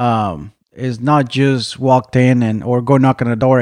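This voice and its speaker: An ordinary speaking voice from a man, medium-pitched with an American accent and fairly even intonation, over a quiet background. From Mexico, raised partly in Arizona. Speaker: dairy farm HR manager. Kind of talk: interview.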